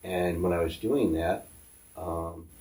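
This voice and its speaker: A man with an American accent speaks at a very slow pace. His voice is very deep and low, and somewhat breathy. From upstate New York (Syracuse). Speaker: tattoo artist. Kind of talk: interview.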